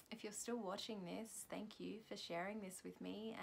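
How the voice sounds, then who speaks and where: A soft-spoken woman is talking. She goes at a fairly quick pace. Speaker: spiritual healing practitioner vlogger. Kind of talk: vlog reflection after self-guided chakra clearing. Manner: halting, many fillers.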